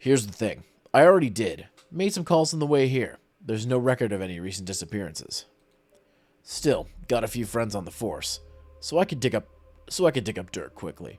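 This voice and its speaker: A man's gruff, raspy put-on character voice at a medium pitch, fairly quick pace and very wide pitch swings, with long, frequent pauses and faint music in the background. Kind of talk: hard-boiled detective talk. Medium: virtual streamer. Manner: gruff, clipped and sardonic.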